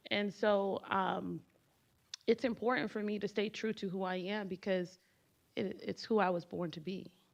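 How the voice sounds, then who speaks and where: With a Haitian accent, a woman speaks in vocal fry with fairly even intonation. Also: medium pitch for a woman, moderate pace. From US, Haitian immigrant family. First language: Haitian Creole. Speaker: panelist. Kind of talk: panel discussion.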